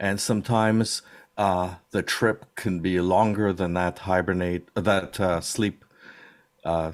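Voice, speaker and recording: A man with a very deep, low pitch, monotone and flat in intonation, at a very slow pace. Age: 60s. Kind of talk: casual chat. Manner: halting.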